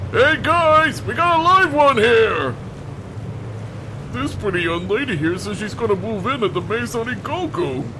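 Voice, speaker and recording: A man uses a put-on character voice, raised and projected. He talks at a moderate pace over loud background noise. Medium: audio drama.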